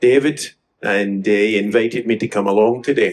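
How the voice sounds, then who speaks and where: Someone talks at a moderate pace with a west of Scotland accent. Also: man. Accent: west of Scotland Scottish. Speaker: audience member. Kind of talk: comment from the floor. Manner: hesitant, many fillers.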